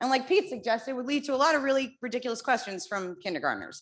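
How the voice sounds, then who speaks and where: Loud and very fast, a woman with an American accent talks in a high voice with lively intonation. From New Jersey. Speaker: parent at public comment. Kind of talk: public comment at school board meeting.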